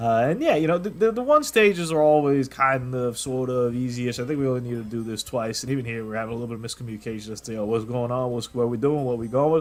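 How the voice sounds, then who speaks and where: Noticeable background noise sits behind a man speaking at a very fast pace with hardly any pauses. His pitch is medium, with ordinary variation. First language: not English. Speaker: gaming youtuber. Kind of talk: gameplay commentary. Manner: casual, rambling with false starts.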